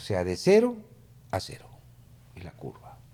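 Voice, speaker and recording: A somewhat breathy man speaks with a mellow, dark tone. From Peru, Lima. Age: 60s. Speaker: political consultant. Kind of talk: interview conversation.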